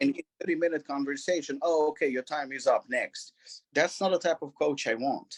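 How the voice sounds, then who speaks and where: A man with a non-native accent and a fairly high pitch is heard in a dry, close recording with no echo. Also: moderate pace. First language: not English. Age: 40s. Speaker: gym and supplement company owner. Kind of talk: interview. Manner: repetitive, animated.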